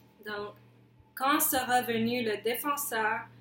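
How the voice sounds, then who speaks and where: Music plays in the background as a woman speaks. Her pitch is fairly high and her intonation fairly even. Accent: English. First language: English (speaking French). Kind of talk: testimony. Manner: halting.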